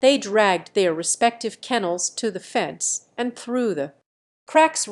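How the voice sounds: The background stays quiet. A natural reading voice is heard.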